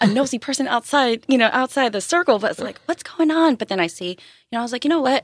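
Talking at a very fast pace with lively intonation, a woman with an American accent uses a high pitch, recorded dry and close with no echo. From Japan, US military base. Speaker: chef. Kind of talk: casual chat. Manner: animated.

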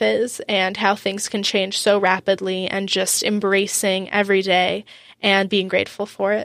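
This woman speaks with an American accent. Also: very clean recording, silent background. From US South Florida, Boca Raton. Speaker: student and social media influencer. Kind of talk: podcast interview. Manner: hesitant, frequent um fillers.

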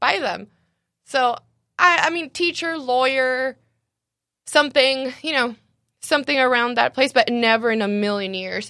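A woman with a high pitch and a bright, sharp tone projects a raised voice at a moderate pace, using ordinary pitch variation and long, frequent pauses. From Mexicali, Mexico. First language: Spanish. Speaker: cafe owner. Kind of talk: casual interview. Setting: studio, live-streamed on Facebook.

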